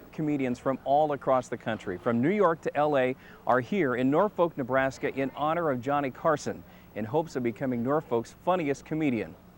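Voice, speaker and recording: In a plain, everyday voice, a man with a fairly high pitch talks at a fairly quick pace with ordinary pitch variation. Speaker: TV news reporter. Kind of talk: TV news report.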